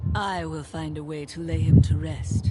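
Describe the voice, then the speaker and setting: Amid loud background noise, a man puts on a character voice, very deep and low, at a moderate pace. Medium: video game. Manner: terse, serious.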